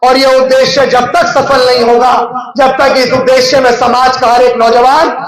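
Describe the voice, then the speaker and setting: A man's extremely high-pitched voice, fairly slow and monotone with flat intonation, amid noticeable background noise and audible room echo. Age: young. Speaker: political activist. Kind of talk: political speech. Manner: impassioned, rousing.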